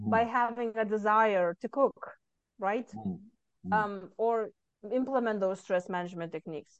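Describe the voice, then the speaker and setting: A woman with a Lithuanian accent speaks with ordinary pitch variation. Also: medium pitch for a woman, moderate pace. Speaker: author and stress management coach. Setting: video call from Texas.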